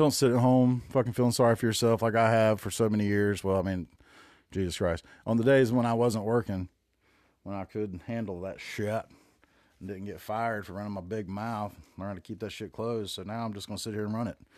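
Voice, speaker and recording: In a Southern US accent, a man talks at a fairly quick pace in a relaxed tone and fairly low pitch, with fairly even intonation and big swings in loudness, in a very clean recording with a silent background. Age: 40s. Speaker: podcast host. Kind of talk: casual monologue. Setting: home room. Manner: relaxed, rambling.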